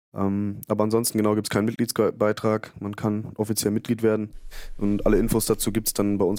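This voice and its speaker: With a dark, mellow tone and fairly low pitch, a man speaks at a fairly quick pace in a monotone, flat delivery. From Germany, Bielefeld. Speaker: fan club board member and editor. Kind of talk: casual podcast chat.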